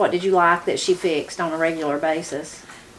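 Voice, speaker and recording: A woman with a southern Appalachian accent talks fairly quickly with fairly even intonation over noticeable background noise. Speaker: channel host and interviewer. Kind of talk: video introduction and interview.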